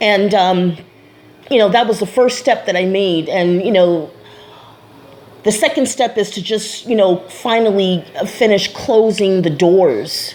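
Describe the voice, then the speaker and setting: A woman with a medium pitch and ordinary pitch variation talks at a fairly slow pace, leaving long, frequent pauses. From USA. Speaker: vlogger. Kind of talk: personal vlog monologue. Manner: casual, many fillers and repetitions.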